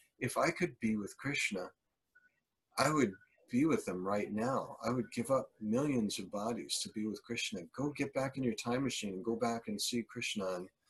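Here a man talks at a moderate pace with a medium pitch. His voice is somewhat breathy, with lively intonation. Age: 60s. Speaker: Hare Krishna devotee and musician. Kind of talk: casual interview. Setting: video call.

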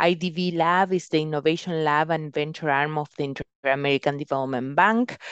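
A woman's very deep, low voice at a fairly quick pace, ordinary in pitch variation, with a quiet background. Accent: Spanish. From Uruguay. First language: Spanish. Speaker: venture capital investor. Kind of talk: interview.

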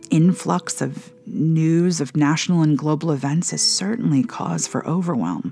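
Over noticeable background noise, a woman with a very deep, low voice speaks in a solemn tone, fairly slowly, with lively intonation. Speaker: spiritual director and prayer podcast host. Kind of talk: fervent intercessory prayer read aloud, pleading petitions to God. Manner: urgent, impassioned pleading with rising intensity; earnest, solemn, measured.

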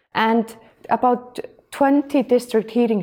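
A woman with an Icelandic accent speaks at a fairly slow pace in a dark, mellow tone. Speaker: energy agency head. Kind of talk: interview. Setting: office.

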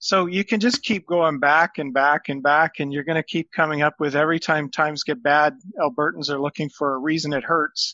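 With a normal speaking voice, a man talks at a fairly quick pace in a fairly high pitch, with hardly any pauses and ordinary pitch variation. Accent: Canadian. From Ontario. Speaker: economics professor. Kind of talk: panel discussion.

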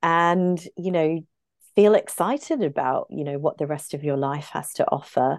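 With an Australian accent, a woman talks at a fairly low pitch with ordinary pitch variation. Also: moderate pace. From Brisbane, Queensland, Australia. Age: 40s. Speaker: medical herbalist. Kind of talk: casual interview chat.

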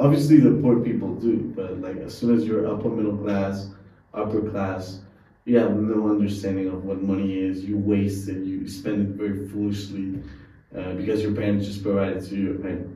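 He has a normal speaking voice at a fairly low pitch. The man talks at a moderate pace with fairly even intonation. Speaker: podcast host. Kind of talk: interview conversation.

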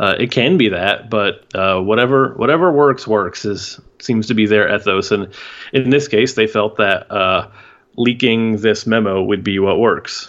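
At a fairly slow pace, a normal speaking voice holds a very even loudness throughout. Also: man, medium pitch for a man, ordinary pitch variation. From Houston, Texas. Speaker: basketball podcast guest. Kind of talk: casual chat.

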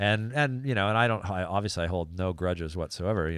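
On a very clean recording with a silent background, a man with an American accent talks very fast in a very deep, low voice with ordinary pitch variation. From California. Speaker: action sports marketing executive. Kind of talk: casual chat.

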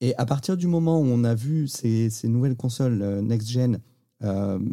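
The voice moves at a fairly slow pace with a dark, mellow tone. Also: man. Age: 30s. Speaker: podcast host, crypto enthusiast. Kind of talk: casual interview chat. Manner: repetitive stammering on words.

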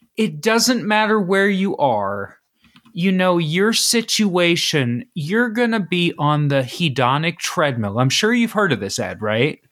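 With an American accent, a man speaks at a fairly slow pace. His pitch is high and swings very widely. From Ohio, east of Cincinnati. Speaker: podcast host. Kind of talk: casual chat.

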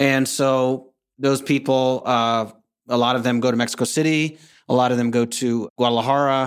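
A man speaks at a medium pitch with an American accent, at a moderate pace and in a flat monotone. The recording is very clean, with a silent background. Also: very even loudness. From North Carolina, US. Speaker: expat consultant and podcaster. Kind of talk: casual interview. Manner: hesitant, many fillers.

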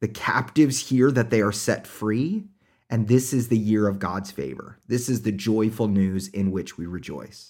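In an American accent, a man speaks at a moderate pace and a fairly low pitch with ordinary pitch variation. The recording is very clean, with a silent background. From Oklahoma, US. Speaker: pastor and podcast host. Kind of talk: sermon-style scripture commentary.

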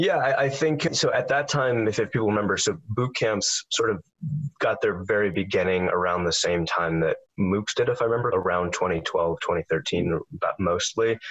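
Speaking at a fairly low pitch with lively intonation, a man with an unremarkable speaking voice keeps a moderate pace and very even loudness. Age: 20s. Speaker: ed tech startup founder. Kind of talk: interview.

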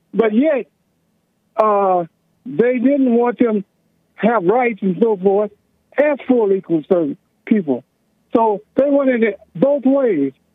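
A man with an American accent speaks very slowly, leaving long, frequent pauses. His high-pitched voice has lively intonation and very even loudness. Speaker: caller. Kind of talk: heated debate. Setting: phone call.

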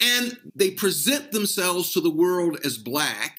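In an American accent, a man speaks in a raised, projected voice with a bright, sharp tone, very wide pitch swings and a very slow pace. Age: 60s. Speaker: law professor. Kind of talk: interview conversation.

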